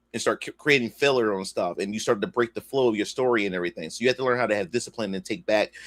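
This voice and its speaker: The voice carries a Philadelphia accent with ordinary pitch variation. The sound is dry and close with no echo, in a very clean recording with a silent background. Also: man. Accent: Philadelphia American English. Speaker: comic creator and livestreamer. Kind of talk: casual livestream chat. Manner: loud; halting, repeats words.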